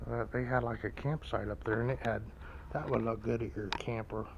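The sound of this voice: With vocal fry and fairly even intonation, a man talks at a fairly quick pace and a medium pitch.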